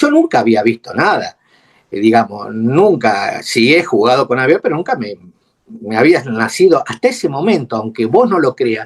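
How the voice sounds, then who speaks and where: The speaker is a man with a medium pitch. He keeps a moderate pace and lively intonation. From Argentina, Buenos Aires then Córdoba. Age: 60s. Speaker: retired air force mechanic, war veteran. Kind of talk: testimony interview. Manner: halting, many fillers.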